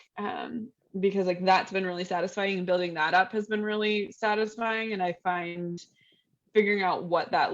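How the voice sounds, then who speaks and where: A woman with an American accent and a normal speaking voice, medium in pitch, at a fairly quick pace with fairly even intonation. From Texas. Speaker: novelist. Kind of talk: casual interview chat.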